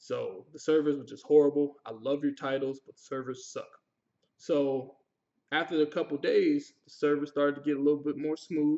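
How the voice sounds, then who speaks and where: A fairly high-pitched male voice with big swings in loudness. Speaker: gaming youtuber. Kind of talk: game review. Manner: fast; animated.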